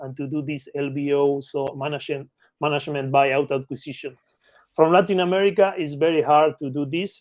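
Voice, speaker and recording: A man with an Argentine accent talks at a moderate pace with ordinary pitch variation. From Argentina (Patagonia). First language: Spanish. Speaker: mergers and acquisitions consultant. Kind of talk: podcast interview. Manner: halting, with fillers and repetitions.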